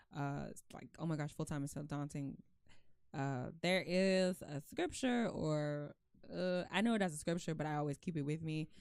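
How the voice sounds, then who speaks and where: An animated woman speaks at a moderate pace with a very deep, low pitch. Her pitch variation is ordinary. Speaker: podcast host; works full-time alongside an artistic practice. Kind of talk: casual chat.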